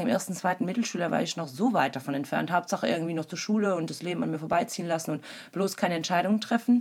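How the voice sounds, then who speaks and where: Very fast speech from a woman, fairly low in pitch, with ordinary pitch variation. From East Belgium, German-speaking village. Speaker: tattoo artist. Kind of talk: casual chat.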